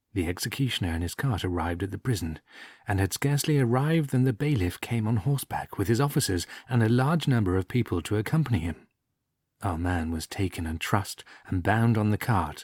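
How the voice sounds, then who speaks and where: A man's fairly low, somewhat breathy voice moves at a fairly quick pace in a dry, close sound with no echo, on a very clean recording with a silent background. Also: lively intonation. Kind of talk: story reading for relaxation. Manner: soft-spoken.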